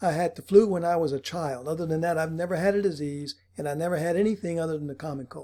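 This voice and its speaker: A man with a high pitch and a dark, mellow tone speaks very fast with fairly even intonation and hardly any pauses. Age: 60s. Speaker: financial advisor. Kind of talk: casual monologue to camera.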